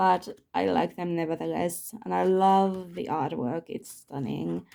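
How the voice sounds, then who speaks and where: A woman speaks at a fairly slow pace with a non-native accent. The recording is very clean, with a silent background. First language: not English. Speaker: tarot YouTuber. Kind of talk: casual video chat showing tarot decks. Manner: halting, searching for words.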